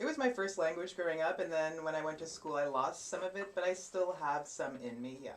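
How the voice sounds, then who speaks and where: Against noticeable background noise, a woman with a Canadian accent speaks at a fairly quick pace with hardly any pauses, her fairly low pitch showing ordinary variation. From Canada, Cornwall Ontario. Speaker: model and actress. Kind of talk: interview. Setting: live stream.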